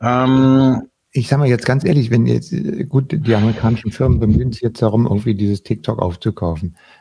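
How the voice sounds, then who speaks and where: The voice is somewhat breathy, with a dark, mellow tone. It moves at a fairly quick pace with ordinary pitch variation. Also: man, medium pitch for a man. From West Berlin. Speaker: podcast host. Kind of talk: casual chat. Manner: hesitant, many fillers.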